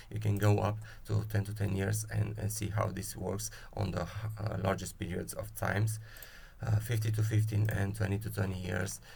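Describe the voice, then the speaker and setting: Audible room echo surrounds a man with a non-native accent. He talks at a moderate pace in a fairly low, monotone, flat voice. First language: not English. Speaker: spreadsheet tool creator. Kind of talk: software tutorial. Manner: halting, many fillers.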